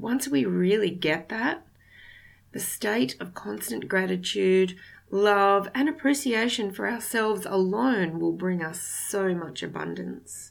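A woman at a medium pitch with lively intonation and a very slow pace, in a very clean recording with a silent background. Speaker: podcast host. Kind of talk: spiritual self-help talk.

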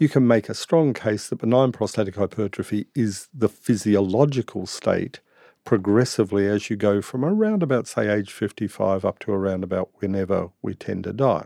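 A man speaks at a moderate pace with a dark, mellow tone and ordinary pitch variation. The sound is dry and close with no echo, over a quiet background. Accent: Australian. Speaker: integrative medicine doctor. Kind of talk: interview. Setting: studio.

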